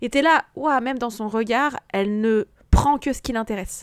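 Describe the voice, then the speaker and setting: Her pitch is high. This woman's recording is very clean, with a silent background. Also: dry, close sound with no echo. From France, Haute-Savoie. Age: 30s. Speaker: video game podcast guest. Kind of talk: casual chat.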